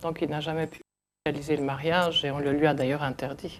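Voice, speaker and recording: A woman's very deep, low voice at a moderate pace, monotone and flat. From Belgium (Hainaut), early childhood in Congo. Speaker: interviewee recounting migration history. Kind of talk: oral history testimony. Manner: halting, many hesitations.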